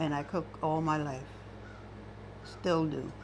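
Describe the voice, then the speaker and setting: With an American accent, a woman talks at a very slow pace in a very deep, low pitch, with vocal fry. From US South, Johns Island, South Carolina. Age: 80s+. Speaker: retired cook. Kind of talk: oral history interview.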